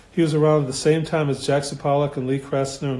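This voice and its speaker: Somewhat breathy and dark, mellow in tone, a man speaks at a fairly high pitch and a fairly quick pace in a monotone, flat intonation. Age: 60s. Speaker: artist. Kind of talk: casual studio tour talk. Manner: rambling, hesitant with fillers.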